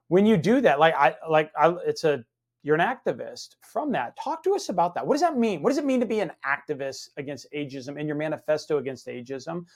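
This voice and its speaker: With an unremarkable speaking voice, a man talks at a fairly quick pace, fairly high in pitch and with lively intonation. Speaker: podcast host. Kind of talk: interview conversation. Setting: studio.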